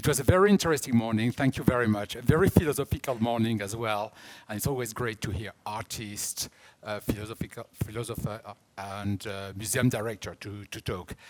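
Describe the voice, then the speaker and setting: A man with a strong French accent, fairly quick in pace, with ordinary pitch variation and big swings in loudness, in a very clean recording with a silent background. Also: medium pitch for a man. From France. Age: 50s. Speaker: art auction house director. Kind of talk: conference talk.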